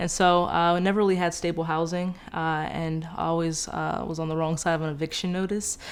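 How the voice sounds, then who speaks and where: With audible room echo, a woman speaks at a fairly quick pace in a fairly low pitch, her intonation monotone and flat, with hardly any pauses. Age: 20s. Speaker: new homeowner. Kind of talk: testimony.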